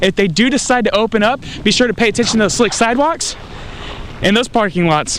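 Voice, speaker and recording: A man speaks over noticeable background noise. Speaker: TV news reporter and anchor. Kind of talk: TV news report.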